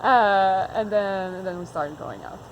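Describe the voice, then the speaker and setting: Audible room echo follows a woman as she speaks at a moderate pace. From Quebec, Montreal. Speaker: farmer. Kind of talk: casual chat.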